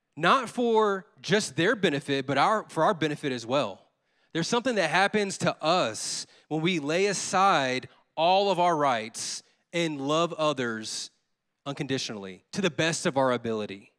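Speaking at a moderate pace with a Southern US accent, a man uses a fairly high pitch, very wide pitch swings and an animated tone. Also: very clean recording, silent background. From Louisiana, US Deep South (Baton Rouge). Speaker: associate pastor. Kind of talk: sermon. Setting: church.

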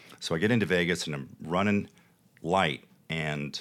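A man with a Texas accent talks in a very deep, low voice marked by vocal fry. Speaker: TV producer and entrepreneur. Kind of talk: casual interview chat. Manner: animated, passionate.

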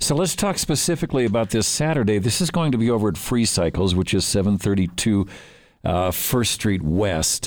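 A man with a plain, everyday voice speaks at a fairly low pitch with lively intonation and very even loudness, on a very clean recording with a silent background. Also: fairly quick pace. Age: 60s. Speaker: radio host. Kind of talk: casual radio interview. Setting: radio studio.

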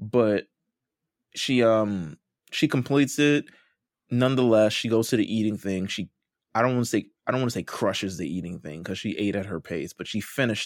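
In a very clean, dry and close recording with no echo and a silent background, the voice moves at a fairly quick pace with an animated tone and ordinary pitch variation. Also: man, fairly low pitch for a man. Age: 30s. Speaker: podcast co-host recapping a reality competition show. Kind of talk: casual chat. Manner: animated, laughing often.

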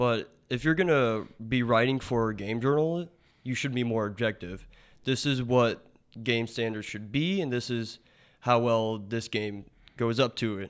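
With ordinary pitch variation, an unremarkable speaking voice proceeds at a fairly slow pace. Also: man, medium pitch for a man. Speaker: student gamer guest. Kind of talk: casual opinion talk.

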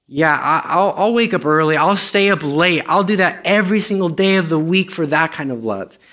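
With hardly any pauses, the voice has a bright, sharp tone and ordinary pitch variation on a very clean recording with a silent background. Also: man, high pitch for a man, moderate pace. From Romania. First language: Romanian. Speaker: guest preacher. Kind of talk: sermon. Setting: church service with congregation. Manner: halting, many fillers and repeats.

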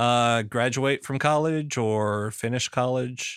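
Medium pitch from a man, with ordinary variation in tone. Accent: Southern US. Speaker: podcast host. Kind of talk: casual interview chat.

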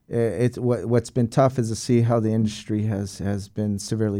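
The voice has an American accent and a dark, mellow tone. It moves at a fairly quick pace with monotone, flat intonation. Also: man. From San Diego, California. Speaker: hotel general manager and Air Force veteran. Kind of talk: interview.

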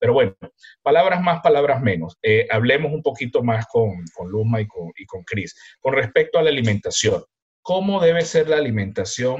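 Somewhat breathy, a man speaks at a moderate pace with a fairly high pitch. His pitch swings very widely, and his loudness shifts a lot too. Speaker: podcast co-host, professor. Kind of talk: casual chat.

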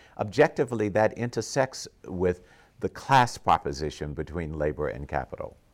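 The speech moves at a moderate pace, with vocal fry. The pitch swings very widely. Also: man, very deep, low pitch for a man. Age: 70s. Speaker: scholar and activist interviewer. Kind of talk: interview. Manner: halting, many fillers.

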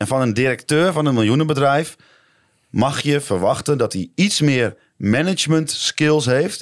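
A man with a plain, everyday voice speaks at a fairly slow pace, his fairly high pitch rising and falling in lively intonation, on a very clean recording with a silent background. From Netherlands. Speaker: football podcast co-host. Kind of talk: casual chat.

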